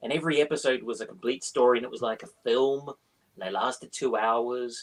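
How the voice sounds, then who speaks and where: Someone talks at a fairly quick pace with a slight New Zealand accent. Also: man. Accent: slightly well-travelled New Zealand. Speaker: crime author and screenwriter. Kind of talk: interview. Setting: live online interview. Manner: animated.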